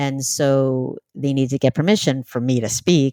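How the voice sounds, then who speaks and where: Speaking with an American accent, a woman has a very deep, low pitch and a dark, mellow tone, her pitch moving in an ordinary way, recorded dry and close with no echo. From New York City. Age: 60s. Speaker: author and cult survivor. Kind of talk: podcast interview.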